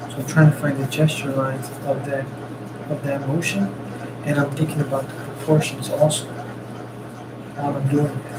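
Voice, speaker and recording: Amid noticeable background noise and audible room echo, a man speaks with monotone, flat intonation at a fairly high pitch and a moderate pace, leaving long, frequent pauses. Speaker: artist streaming a sketch session. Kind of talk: live-stream drawing commentary. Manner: whispering, soft-spoken; hesitant, many fillers. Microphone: mic far away.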